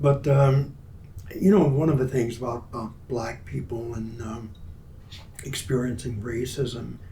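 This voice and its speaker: A man's medium-pitched voice, fairly slow with long, frequent pauses, big swings in loudness and ordinary pitch variation, plus audible room echo and noticeable background noise. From US South, Mobile, Alabama. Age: 90s. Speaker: war veteran. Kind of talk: family interview conversation.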